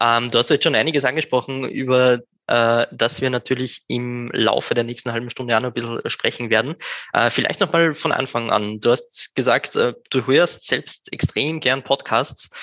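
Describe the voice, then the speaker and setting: A man talks with a plain, everyday voice at a medium pitch. His pace is moderate and his intonation fairly even. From Upper Austria. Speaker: podcast host. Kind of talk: interview. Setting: live video stream.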